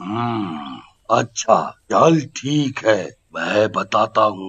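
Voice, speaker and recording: A man in a cartoonish character voice speaks at a medium pitch and a very slow pace. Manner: gruff, brooding.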